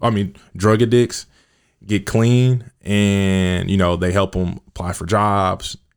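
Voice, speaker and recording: Pitched fairly low with fairly even intonation, a man uses a normal speaking voice, recorded very cleanly over a silent background. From US Midwest, Kansas City. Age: 20s. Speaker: youth worker and mentor. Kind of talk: podcast interview. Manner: casual, many fillers.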